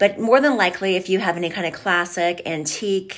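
Against a quiet background, a woman speaks at a very fast pace. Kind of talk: informational vlog talk to viewers. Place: office. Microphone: phone near.

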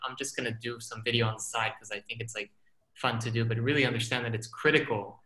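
Against a quiet background, a man's voice carries audible room echo. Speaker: filmmaker and scientist; guest. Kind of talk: panel discussion. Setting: video call. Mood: relaxed, reflective. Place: home room. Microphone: video call.

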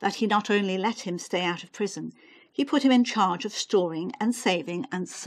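A natural voice reads the text aloud. Its pitch variation is ordinary.

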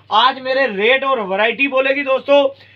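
A man speaks at a moderate pace in an extremely high pitch, with ordinary pitch variation.

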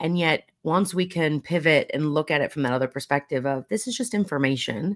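A woman's very deep, low voice with lively intonation. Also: fairly quick pace, quiet background. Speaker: podcast host. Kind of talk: interview. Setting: live video stream. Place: home room.

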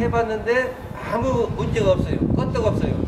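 A man speaks over loud background noise. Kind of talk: interview answer. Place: street.

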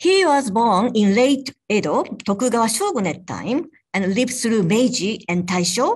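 A woman talks in a somewhat breathy voice with very even loudness against a quiet background. Her pitch is fairly high and swings very widely. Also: moderate pace. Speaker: professor. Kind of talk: formal introduction. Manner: formal. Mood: warm, smiling. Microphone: earbuds.

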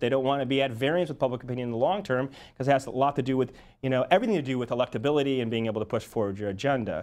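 A man talks very fast, his pitch varying in an ordinary way. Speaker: polling firm executive; guest. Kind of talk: TV interview. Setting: TV studio. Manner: halting, many fillers and repetitions. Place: studio.

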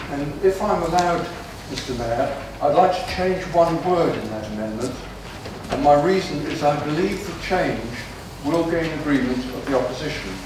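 Moderate-paced speech with strong room echo and noticeable background noise. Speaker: council executive member. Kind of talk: council meeting debate. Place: hall.

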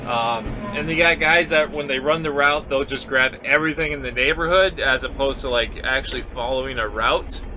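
The speech moves at a fairly quick pace with fairly even intonation. Noticeable background noise runs behind it. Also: man. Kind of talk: casual vlog chat. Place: farm machine. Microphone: camera far.

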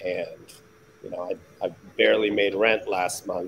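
A man with an American accent at a very slow pace, over light background noise. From US West Coast (Palo Alto, California); California. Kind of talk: casual chat. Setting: video call. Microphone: video call.

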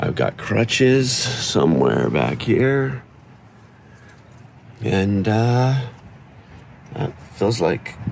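With noticeable background noise behind him, a man speaks at a very slow pace with long, frequent pauses and ordinary pitch variation. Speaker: triathlete vlogger. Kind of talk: video diary. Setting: lying in bed.

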